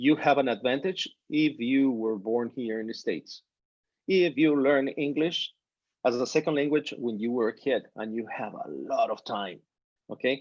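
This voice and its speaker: This man has a medium pitch and ordinary pitch variation. He speaks at a moderate pace with a Spanish accent. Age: 50s. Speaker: physician. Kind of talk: informal talk to students. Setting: video call. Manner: animated.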